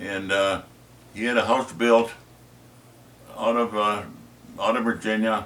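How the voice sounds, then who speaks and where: A man with a Minnesota accent talks at a fairly slow pace in a fairly low voice. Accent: Upper Midwest (Minnesota). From northern Minnesota, Iron Range. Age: 80s+. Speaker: retired teacher. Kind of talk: family history interview. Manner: halting, many fillers.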